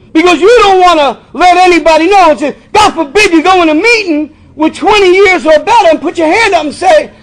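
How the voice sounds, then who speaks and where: A man speaks at a moderate pace with an extremely high pitch. Noticeable background noise runs behind him. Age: 60s. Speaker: recovery meeting speaker. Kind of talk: recovery testimony talk. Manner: conversational, repetitive fillers.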